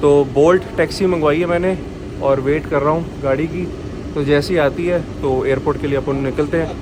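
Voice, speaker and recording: A man at a moderate pace, fairly high in pitch, with fairly even intonation and noticeable background noise. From India. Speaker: travel vlogger. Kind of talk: casual vlog narration. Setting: on the move, taxi and airport. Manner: casual, conversational.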